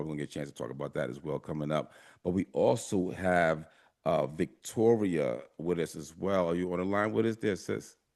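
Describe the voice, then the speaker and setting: Against a quiet background, a man with a very deep, low pitch and vocal fry talks at a fairly quick pace with ordinary pitch variation. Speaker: radio show host. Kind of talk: casual interview.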